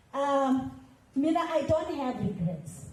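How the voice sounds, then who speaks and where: A woman speaks loudly at a high pitch, with an animated tone and lively intonation. Noticeable background noise and audible room echo surround her. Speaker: veteran musician. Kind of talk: panel discussion.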